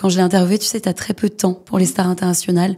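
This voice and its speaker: Her voice is a woman's medium pitch with a dark, mellow tone and monotone, flat intonation. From Paris western suburbs (Hauts-de-Seine). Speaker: culture journalist. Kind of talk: podcast interview.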